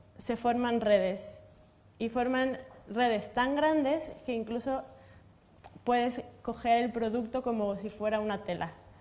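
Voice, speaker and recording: Speaking fairly slowly with a Mexican accent, a woman has a high pitch, a dark, mellow tone and ordinary pitch variation. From Mexico. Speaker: materials science researcher. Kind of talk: panel discussion.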